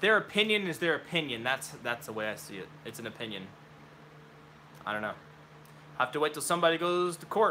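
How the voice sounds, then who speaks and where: A man with an American accent at a fairly high pitch, very fast with long, frequent pauses, with a bright, sharp tone and vocal fry, very wide pitch swings and big swings in loudness. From Oklahoma. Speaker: gun hobbyist streamer. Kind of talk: live stream Q&A. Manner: casual, mumbling.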